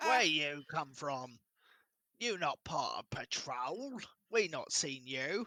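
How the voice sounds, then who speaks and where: A man does a put-on character voice at a very slow pace. The recording is very clean, with a silent background. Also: fairly high pitch for a man. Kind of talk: broken, simple English. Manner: dim-witted.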